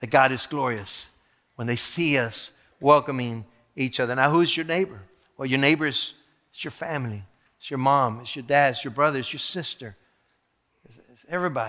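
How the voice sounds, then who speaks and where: This man has a medium pitch, ordinary pitch variation and a bright, sharp tone, talking at a fairly quick pace. His loudness swings a lot, and he leaves long, frequent pauses. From South Texas (Rio Grande Valley), born in Mexico. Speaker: pastor. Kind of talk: sermon. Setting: church. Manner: animated.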